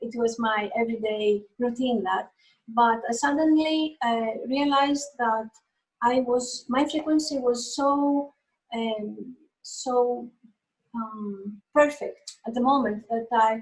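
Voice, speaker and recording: A woman speaks with a Greek accent in a high voice. Her pace is very slow and her intonation fairly even. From Greece. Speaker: painter. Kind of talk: interview. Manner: halting.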